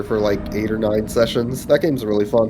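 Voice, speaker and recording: A man talks at a moderate pace while music runs behind him. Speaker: streamer. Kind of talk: casual chat. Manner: soft-spoken.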